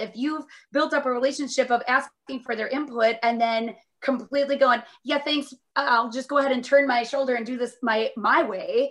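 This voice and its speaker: Her voice is high-pitched, clearly a woman's. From Minnesota, Northfield. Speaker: optometrist. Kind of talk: interview.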